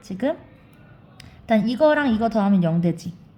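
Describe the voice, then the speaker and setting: A woman's medium-pitched, somewhat breathy voice, dark and mellow, with lively intonation. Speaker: math teacher. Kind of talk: tutorial. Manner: fast.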